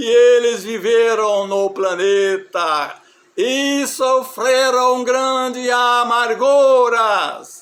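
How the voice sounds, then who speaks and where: Amid audible room echo, a man speaks very slowly at an extremely high pitch. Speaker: religious preacher. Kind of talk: sermon.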